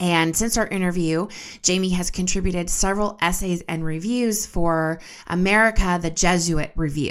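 A woman with an ordinary speaking voice, a fairly low pitch, fairly even intonation and a moderate pace, in a very clean recording with a silent background. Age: 30s. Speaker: podcast host and editor. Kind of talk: scripted narration; interview.

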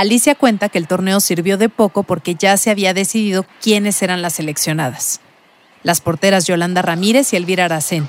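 A woman with an ordinary speaking voice, medium pitch and ordinary pitch variation at a fairly quick pace, in a dry, close sound with no echo. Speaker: journalist and podcast host. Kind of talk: scripted narration.

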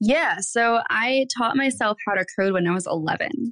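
A plain, everyday voice from a woman with an American accent, at a fairly slow pace with ordinary pitch variation, in a dry, close sound with no echo. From Michigan, US Midwest. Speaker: agency owner and developer. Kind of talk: interview.

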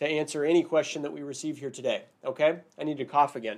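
A man speaks in an ordinary speaking voice, fairly high in pitch, at a fairly quick pace with fairly even intonation. The recording is very clean, with a silent background. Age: 40s. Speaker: immigration lawyer and podcast host. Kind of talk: live-stream monologue. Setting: live video stream. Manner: casual, filler-heavy.

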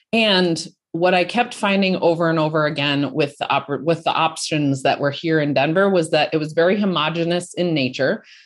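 A woman with a plain, everyday voice speaks at a moderate pace and fairly low pitch, with ordinary pitch variation, very even loudness and hardly any pauses, over a quiet background. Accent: American. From Colorado, US. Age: 40s. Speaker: entrepreneur, founder of a women's business network. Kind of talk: interview.

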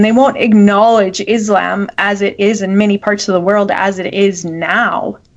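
Noticeable background noise runs behind a woman speaking at a moderate pace in a medium pitch. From Canada. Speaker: podcast co-host. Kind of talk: casual chat. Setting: video call.

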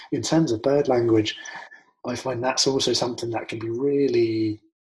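A man speaks at a moderate pace and medium pitch, somewhat breathy, with monotone, flat intonation. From London, then southern England. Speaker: naturalist and nature educator. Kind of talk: casual interview. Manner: hesitant with many fillers.

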